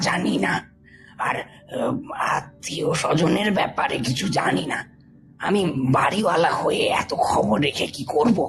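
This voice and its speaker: Putting on a character voice, a man sounds raspy at a fairly high pitch, his pitch swinging very widely. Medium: audio drama.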